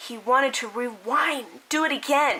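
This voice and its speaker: A woman's raised, projected, high-pitched voice with ordinary pitch variation, over noticeable background noise. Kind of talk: dramatic story reading.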